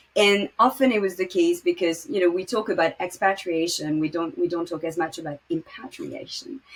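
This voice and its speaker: Speaking with a French accent, a woman uses lively intonation at a medium pitch. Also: moderate pace, hardly any pauses. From Morocco. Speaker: podcast host and finance startup founder. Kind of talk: interview.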